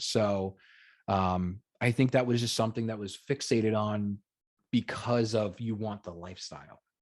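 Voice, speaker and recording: A man speaks in a plain, everyday voice at a medium pitch. His intonation is fairly even, and the background is quiet. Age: 30s. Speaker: whiskey content creator. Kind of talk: casual chat.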